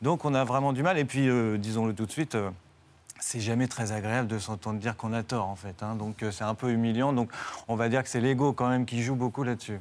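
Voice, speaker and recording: This man speaks at a fairly quick pace and medium pitch. His intonation is fairly even. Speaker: philosophy teacher. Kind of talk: TV debate.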